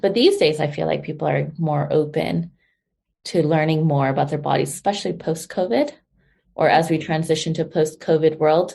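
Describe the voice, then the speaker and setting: A woman speaks with a dark, mellow tone in a very deep, low pitch with vocal fry. Her intonation is monotone and flat, her pace fairly quick, and the background quiet. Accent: American. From US, California, San Diego. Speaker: holistic health guest. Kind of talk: interview.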